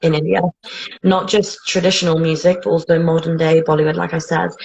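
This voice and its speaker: With a British accent, a woman speaks in a fairly low, somewhat breathy voice and a monotone, flat intonation. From England, Bedford. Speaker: interviewee. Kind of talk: casual interview chat.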